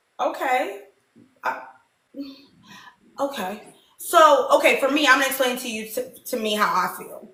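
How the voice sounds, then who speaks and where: A woman speaks in a high, raised, projected voice with an animated tone and lively intonation, her loudness swinging widely. She keeps a moderate pace with long, frequent pauses, and the room echo is audible. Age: 30s. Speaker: dating show host. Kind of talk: casual chat.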